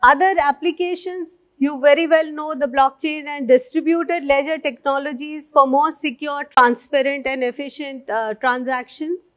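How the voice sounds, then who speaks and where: Pitched high, a woman talks at a moderate pace with hardly any pauses. Her intonation stays fairly even against a quiet background. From India. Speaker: senior civil servant. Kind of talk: conference keynote speech. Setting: stage with audience. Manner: formal. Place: stage.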